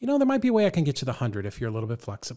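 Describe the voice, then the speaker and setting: A somewhat breathy man against a quiet background. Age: 50s. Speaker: real estate investor and coach; coach. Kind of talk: casual interview. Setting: studio, in person. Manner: animated. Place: studio. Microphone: studio mic.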